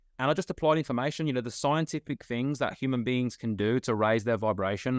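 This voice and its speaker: A man's medium-pitched voice with a British accent at a very fast pace, dry and close with no echo, over a quiet background. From UK. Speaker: guest, former factory worker turned self-improvement coach. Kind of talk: podcast interview. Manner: halting, many fillers. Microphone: connection breaking up.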